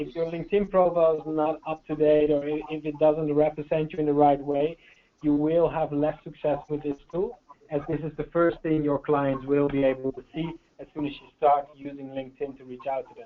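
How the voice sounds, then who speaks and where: The speaker has a Dutch accent. The pace is fairly quick. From Netherlands. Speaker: sales trainer. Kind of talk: webinar training presentation. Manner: hesitant, many fillers.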